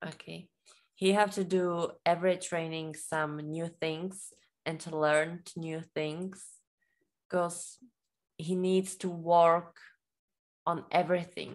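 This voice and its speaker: Very slow, monotone speech with flat intonation from a woman with a Czech accent and fairly low pitch, broken by long, frequent pauses, over a quiet background. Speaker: interpreter. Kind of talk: interview.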